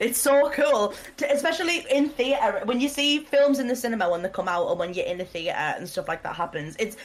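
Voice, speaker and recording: Loud and very fast, a woman speaks in a British accent at a high pitch with very wide pitch swings over noticeable background noise. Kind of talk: casual chat.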